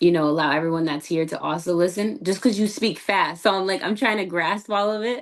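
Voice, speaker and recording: With an American accent, a woman in an ordinary speaking voice talks at a fairly quick pace with hardly any pauses, medium pitch and ordinary pitch variation against a quiet background. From USA. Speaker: podcast host. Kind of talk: interview. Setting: video call.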